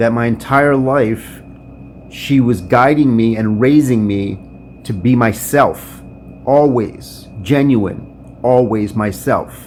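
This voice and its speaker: Against noticeable background noise, a man talks at a very slow pace in a medium pitch with ordinary pitch variation. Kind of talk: freestyle spoken word poem.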